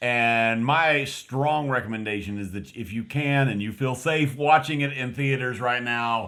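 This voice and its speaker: In an American accent, the bright, sharp voice moves at a fairly slow pace with hardly any pauses and ordinary pitch variation. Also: man, medium pitch for a man. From West Texas. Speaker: film review podcast co-host. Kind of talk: casual film review chat. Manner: halting, many fillers and restarts.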